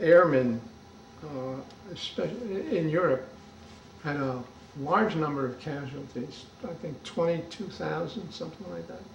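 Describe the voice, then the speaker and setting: A man with a fairly high pitch speaks at a fairly slow pace with lively intonation, big swings in loudness and long, frequent pauses, with audible room echo and noticeable background noise. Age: 80s+. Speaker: oral history interviewer. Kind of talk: oral history interview. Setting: interviewee's home.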